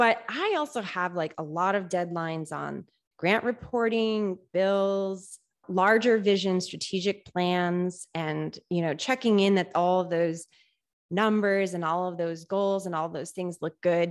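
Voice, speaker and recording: A woman with an American accent and an unremarkable speaking voice talks at a fairly slow pace in a medium pitch. Her pitch varies in an ordinary way, over a quiet background. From Central Massachusetts. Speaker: makerspace director. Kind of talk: interview.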